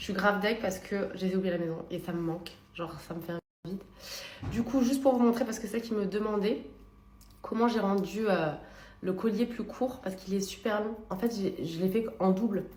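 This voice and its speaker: A woman speaks at a medium pitch and a fairly quick pace, with ordinary pitch variation and long, frequent pauses. Noticeable background noise and audible room echo are present. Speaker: lifestyle vlogger. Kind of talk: vlog. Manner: animated.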